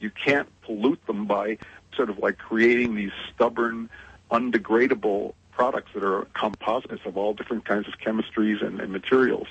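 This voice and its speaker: A man with an American accent has a plain, everyday voice at a medium pitch. He keeps a moderate pace and fairly even intonation. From US, New England. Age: 60s. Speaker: interviewee on sustainability. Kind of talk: interview conversation.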